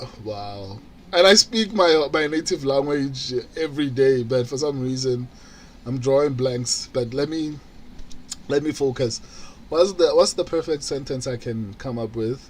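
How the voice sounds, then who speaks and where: A man with a Botswana accent speaks fairly slowly at a fairly high pitch, with ordinary pitch variation. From South Africa, Pretoria. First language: Setswana. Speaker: streamer. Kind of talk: live stream watch-along chat. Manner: halting.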